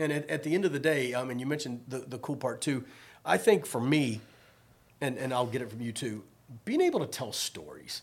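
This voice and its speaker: With an American accent, a man in an unremarkable speaking voice talks at a medium pitch and a fairly quick pace with lively intonation. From Virginia, Richmond. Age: 50s. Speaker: podcast host, sports director. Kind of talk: casual interview.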